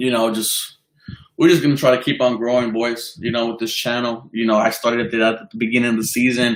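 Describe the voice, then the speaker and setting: A fairly quick, monotone, flat male voice with an American accent. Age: 20s. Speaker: sports fan streamer. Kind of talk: casual live stream chat. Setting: live stream. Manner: halting, many fillers.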